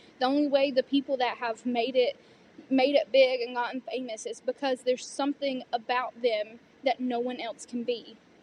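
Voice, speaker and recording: With a Southern US accent, a woman speaks at a moderate pace in a high pitch, the sound dry and close with no echo. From US South. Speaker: student performer, pageant titleholder. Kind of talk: interview conversation.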